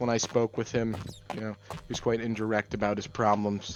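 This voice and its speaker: Speaking in a deadpan tone, a man keeps a moderate pace and a medium pitch. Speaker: gamer rambling during a let's play. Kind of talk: casual chat while gaming. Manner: monotone.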